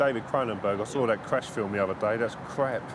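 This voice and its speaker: Over noticeable background noise, a man at a medium pitch talks at a very fast pace with fairly even intonation. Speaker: press photographer. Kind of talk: documentary interview. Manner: loud.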